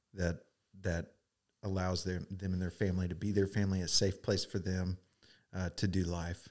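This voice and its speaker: With an Oklahoma accent, a man speaks at a moderate pace in a very deep, low pitch, taking long, frequent pauses. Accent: Oklahoma American. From Oklahoma, US. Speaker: realtor and camp director. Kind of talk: testimony.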